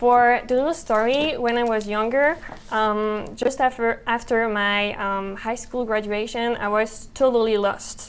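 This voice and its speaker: With a slight French accent, a woman speaks at a fairly high pitch and a fairly slow pace, her intonation fairly even and her pauses hardly there. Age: young. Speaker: podcast co-host. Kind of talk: casual conversation. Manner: hesitant, many fillers.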